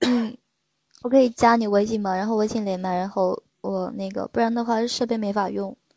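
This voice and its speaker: The speaker has an ordinary speaking voice. The tempo is moderate and the intonation fairly even. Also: woman. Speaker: sleep-aid streamer. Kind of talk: casual call-in chat.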